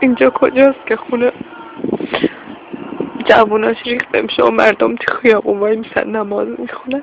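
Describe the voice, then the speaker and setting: A woman at a moderate pace with long, frequent pauses, against noticeable background noise. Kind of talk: emotional first-person monologue.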